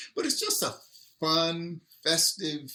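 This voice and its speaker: The pace of this man's speech is very slow. He has an American accent. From Texas. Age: 60s. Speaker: restaurant cofounder. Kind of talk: interview.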